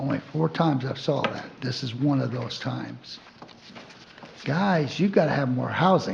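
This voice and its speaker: This man has a medium pitch and ordinary pitch variation, speaking at a fairly slow pace. Noticeable background noise runs under his voice. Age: 70s. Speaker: member of the public. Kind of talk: public comment.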